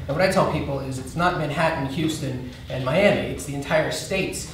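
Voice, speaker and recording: Amid audible room echo and noticeable background noise, a man talks at a fairly quick pace with fairly even intonation. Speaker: guest. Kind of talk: interview answer. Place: stage.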